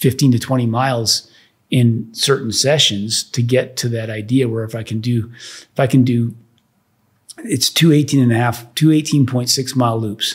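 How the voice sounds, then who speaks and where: A man talks at a moderate pace and a medium pitch. His voice is somewhat breathy, with fairly even intonation. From Netherlands. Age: 60s. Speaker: real estate developer and former pro golfer. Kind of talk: podcast interview. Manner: halting, many repeated words.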